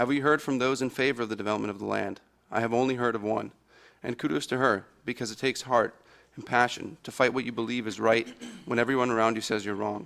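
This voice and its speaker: A man speaks at a very fast pace with vocal fry. His pitch is medium for a man and his intonation fairly even. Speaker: borough council member. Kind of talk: prepared statement at public meeting; questioning at public meeting. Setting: council meeting room.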